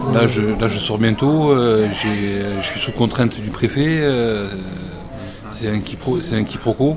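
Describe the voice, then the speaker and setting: With music in the background and audible room echo, a man of medium pitch speaks at a very slow pace with ordinary pitch variation. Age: 30s. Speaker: psychiatric patient. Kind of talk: radio interview. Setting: hospital cafeteria. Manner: halting.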